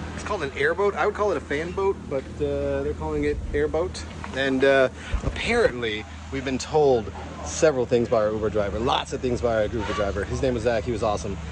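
A man speaks at a fairly quick pace. The sound is dry with no echo, though background noise is noticeable. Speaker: travel vlogger. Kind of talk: casual vlog chat. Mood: playful, joking. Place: waterside. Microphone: phone near.

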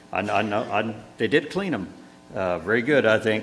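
A man's lively intonation at a moderate pace, over light background noise. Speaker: pastor officiating a funeral. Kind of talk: funeral sermon. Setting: church. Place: church.

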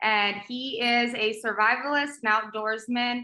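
Against a quiet background with audible room echo, a woman with an American accent and a fairly high pitch speaks at a very slow pace in a bright, sharp tone. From South Texas, Rio Grande Valley; Texas. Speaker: agricultural show host and magazine publisher; agricultural show host. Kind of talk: casual interview chat. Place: home room. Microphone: video call.

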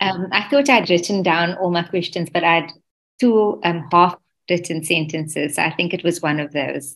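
Speaking at a moderate pace, a woman uses a fairly low pitch with ordinary variation. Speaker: event organizer; audience member. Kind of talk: casual chat. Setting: video call. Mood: friendly, smiling. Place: home room. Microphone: video call.

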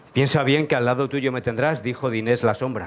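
A man's moderate-paced speech, with ordinary pitch variation, comes over light background noise. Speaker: stage actor playing the lead. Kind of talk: theatrical verse declamation. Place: stage.

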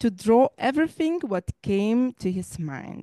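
A woman speaks at a very slow pace, her dry sound carrying no echo over a quiet background. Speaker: library director and event host; event host. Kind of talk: moderating a memorial event. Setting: live event in a library. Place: hall. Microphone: handheld.

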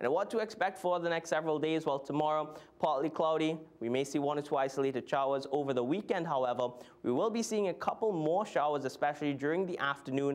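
Talking at a very fast pace, a man keeps a very even loudness and an upbeat tone with ordinary pitch variation. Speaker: TV weather presenter. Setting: TV studio. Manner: brisk, upbeat and conversational, steady newsreader pacing; clear explanatory tone with occasional filler hesitations. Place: studio.

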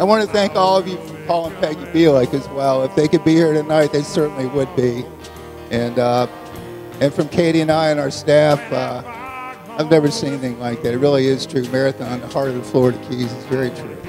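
Fairly quick speech with ordinary pitch variation over clear background music. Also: man. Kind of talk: thank-you speech. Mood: moved, grateful. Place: church. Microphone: handheld.

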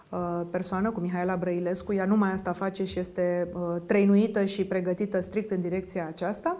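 A woman is speaking. Her pace is moderate. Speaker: nutrition coach. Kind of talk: interview answer. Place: studio. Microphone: lapel.

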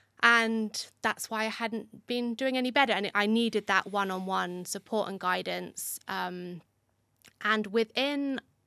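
With a British accent, a woman talks at a fairly slow pace in a bright, sharp tone, the sound dry with no echo against a quiet background. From UK. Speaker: migraine advocate; podcast guest. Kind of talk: casual interview. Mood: calm, reflective. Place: studio. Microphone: studio mic.

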